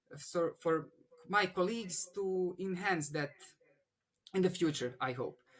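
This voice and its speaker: With a Bosnian accent, a man speaks high-pitched at a fairly slow pace, taking long, frequent pauses. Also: ordinary pitch variation. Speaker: engineering student. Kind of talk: interview. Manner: halting, many restarts.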